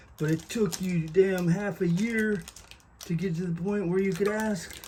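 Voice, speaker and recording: A man's high voice comes through noticeable background noise with fairly even intonation. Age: 70s. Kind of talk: casual talk to camera. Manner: casual, rambling, humorous.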